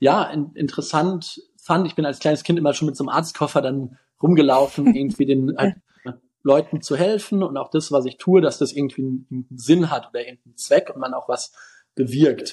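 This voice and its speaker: A man's fairly high-pitched voice with a dark, mellow tone, ordinary pitch variation, big swings in loudness and a moderate pace. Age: 20s. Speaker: physician and health-tech founder. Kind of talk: interview.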